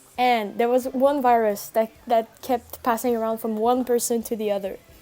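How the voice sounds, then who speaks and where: With music in the background, a woman speaks at a moderate pace in a fairly high, monotone, flat voice. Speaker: streamer. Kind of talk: casual chat. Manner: loud.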